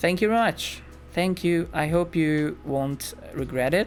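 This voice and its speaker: Lively in intonation, a man talks at a fairly slow pace through noticeable background noise. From Hungary. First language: Hungarian. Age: 20s. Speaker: gaming streamer. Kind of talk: casual live-stream chat. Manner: chatty, filler-heavy.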